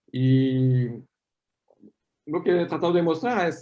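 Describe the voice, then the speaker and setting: Speaking with a French accent, this man has a fairly high-pitched voice. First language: French (speaking Spanish). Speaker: paleomagnetism scientist. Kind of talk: academic Q&A after a talk.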